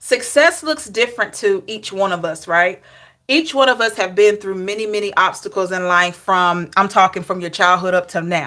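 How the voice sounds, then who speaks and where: On a very clean recording with a silent background, a woman speaks in a Southern US accent with a bright, sharp tone. Her pitch is medium, with ordinary variation, at a moderate pace. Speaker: tarot reader. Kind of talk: live tarot reading. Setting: livestream. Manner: conversational.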